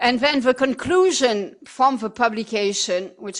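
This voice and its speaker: This woman has a French accent, a fairly high pitch and ordinary pitch variation. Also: quiet background. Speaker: epidemiologist. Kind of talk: lecture.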